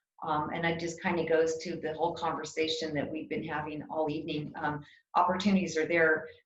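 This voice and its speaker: Amid audible room echo, a woman with a very deep, low pitch talks fairly quickly in a monotone with flat intonation. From New Mexico, Cloudcroft. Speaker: political candidate. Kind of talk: candidate forum answers. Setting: video call. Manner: halting.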